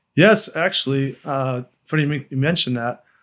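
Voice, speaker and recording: The speaker talks with a Texan accent at a moderate pace, keeping the intonation fairly even. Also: man. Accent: Texan American. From Texas, Austin. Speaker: lawyer and political activist. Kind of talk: interview.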